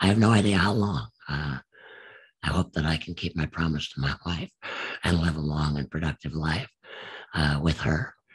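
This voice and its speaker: A man talks at a fairly slow pace with a very deep, low pitch and ordinary pitch variation. Vocal fry runs through his voice. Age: 70s. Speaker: war veteran. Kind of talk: testimony. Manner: hesitant, many fillers.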